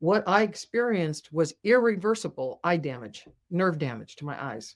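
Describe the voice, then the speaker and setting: A woman talks in a normal speaking voice at a moderate pace. The recording is very clean, with a silent background. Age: 60s. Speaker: spiritual healer and author. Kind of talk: podcast interview. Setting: podcast with video.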